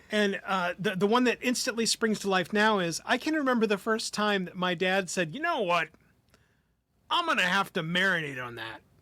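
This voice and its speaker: Using a raised, projected voice, a man sounds bright and sharp at a high pitch with lively intonation. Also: moderate pace. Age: 50s. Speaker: podcast co-host. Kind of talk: casual chat.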